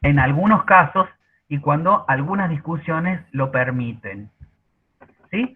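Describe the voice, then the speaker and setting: A man's fairly high-pitched voice at a very slow pace, with long, frequent pauses. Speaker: university workshop facilitator. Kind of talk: online workshop presentation. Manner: hesitant, many fillers.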